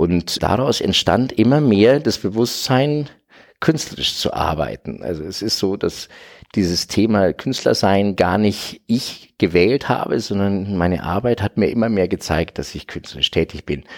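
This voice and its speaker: A man speaks in a plain, everyday voice at a fairly low pitch and a fairly slow pace. His intonation is lively, and the recording is very clean with a silent background. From Franconia, Bavaria, Germany. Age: 50s. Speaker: artist. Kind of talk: interview.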